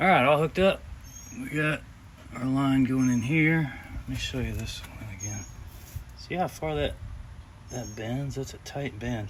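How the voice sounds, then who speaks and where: Speaking quietly and at a fairly slow pace, a man leaves long, frequent pauses amid audible room echo. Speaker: car mechanic hobbyist youtuber. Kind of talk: tutorial. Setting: garage. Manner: gets quieter as he talks.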